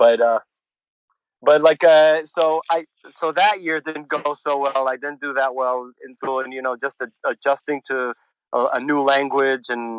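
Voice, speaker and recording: In a dry, close sound with no echo, a man with a fairly high pitch talks at a fairly slow pace with fairly even intonation and big swings in loudness. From Israel and New York. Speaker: punk musician. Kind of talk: casual interview chat. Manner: halting, many repeats and fillers.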